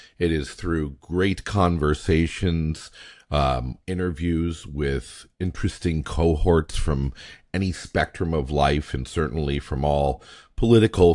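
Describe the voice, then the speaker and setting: A man speaks at a very slow pace with a very deep, low pitch. His pitch varies in an ordinary way. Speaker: podcast host. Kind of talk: casual monologue. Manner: halting, many fillers.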